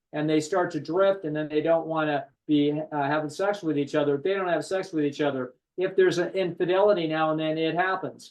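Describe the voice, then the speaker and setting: Fairly high for a man, his voice moves at a fairly quick pace. Pitch variation is ordinary. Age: 60s. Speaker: psychologist and therapist. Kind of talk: podcast discussion. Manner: animated.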